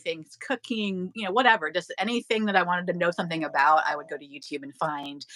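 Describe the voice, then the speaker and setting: A woman talks at a very fast pace. Her medium-pitched voice has a bright, sharp tone. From US, Mexican American family. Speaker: YouTuber, handbag unboxing channel host. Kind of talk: casual chat. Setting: livestream.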